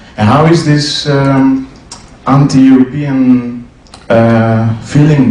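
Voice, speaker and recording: A man with a medium pitch and ordinary pitch variation talks through noticeable background noise and audible room echo. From Greece. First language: Greek. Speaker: audience member at debate. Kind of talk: audience question at public debate. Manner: halting.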